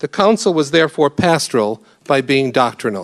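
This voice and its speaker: A man's unremarkable speaking voice with an American accent, fairly high in pitch, at a moderate pace, dry and close with no echo. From US Northeast, Rochester New York. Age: 50s. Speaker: priest. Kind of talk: lecture.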